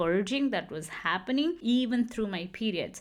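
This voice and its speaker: The speaker talks in a Kannada accent. The recording is very clean, with a silent background. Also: woman. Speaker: podcast host. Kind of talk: personal storytelling monologue. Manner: animated.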